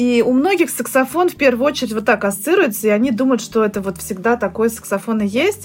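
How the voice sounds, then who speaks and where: A woman speaks fairly quickly with lively intonation and a fairly high pitch. Background noise is noticeable throughout. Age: 30s. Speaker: saxophonist and music teacher. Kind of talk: casual chat.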